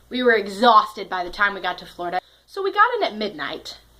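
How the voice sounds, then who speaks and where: Speaking with an American accent, a woman has a fairly high pitch and very wide pitch swings. Noticeable background noise can be heard. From US Northeast, Connecticut. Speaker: storytelling vlogger. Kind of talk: personal storytelling monologue. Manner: animated.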